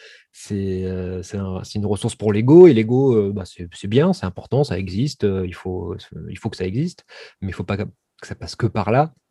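A man with a fairly low, dark, mellow voice speaks at a moderate pace with ordinary pitch variation and big swings in loudness, in a dry, close sound with no echo. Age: 30s. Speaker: filmmaker and actor. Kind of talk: interview conversation.

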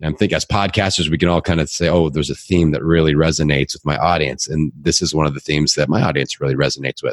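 An American man with a very deep, low voice and vocal fry speaks in an energetic, animated tone. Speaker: fitness podcaster and coach. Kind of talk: casual interview chat.

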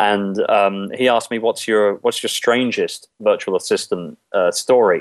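A man with an English accent at a fairly slow pace, with hardly any pauses. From England, London. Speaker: outsourcing business owner. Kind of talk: interview. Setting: Skype call.

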